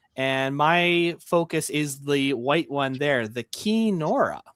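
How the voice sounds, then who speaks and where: A man with a Canadian accent speaks with ordinary pitch variation. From Canada. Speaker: museum ship enthusiast. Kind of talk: live stream panel discussion. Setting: live stream.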